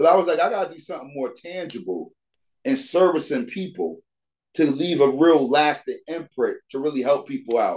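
A man with an American accent, an ordinary speaking voice, fairly high pitch, lively intonation and a moderate pace. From New York (Bronx). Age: 40s. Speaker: basketball league founder. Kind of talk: casual interview.

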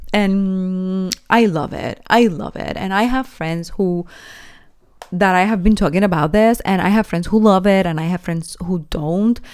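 A woman speaks fairly slowly in an animated tone at medium pitch. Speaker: podcast host; university student. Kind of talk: casual solo monologue.

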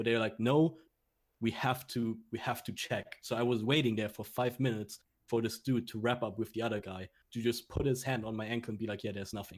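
On a very clean recording with a silent background, a man in a German accent speaks very fast at a medium pitch with fairly even intonation. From Germany. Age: 20s. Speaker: esports coach. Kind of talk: casual interview.

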